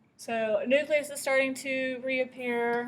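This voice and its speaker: Amid audible room echo, a woman talks at a high pitch with fairly even intonation. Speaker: science teacher. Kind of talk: lecture.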